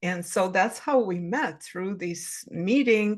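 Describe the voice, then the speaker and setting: A woman with an ordinary speaking voice, medium in pitch, talks fairly slowly with lively intonation. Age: 60s. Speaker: spiritual life coach. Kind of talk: casual chat.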